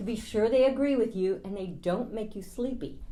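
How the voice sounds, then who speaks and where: A woman talks at a moderate pace with a fairly high pitch, a dark, mellow tone and some vocal fry. Audible room echo surrounds her voice. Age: 60s. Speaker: travel vlogger. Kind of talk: scripted narration.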